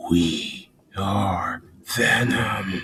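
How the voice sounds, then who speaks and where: This raspy voice is a put-on character voice. The man's pitch sits fairly low. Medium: solo performance.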